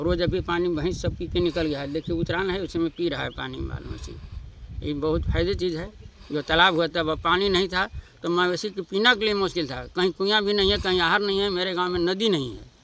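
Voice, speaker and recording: Amid noticeable background noise, a high-pitched man speaks at a moderate pace with fairly even intonation. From Palamu, Jharkhand. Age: 70s. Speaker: villager. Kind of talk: interview. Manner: halting.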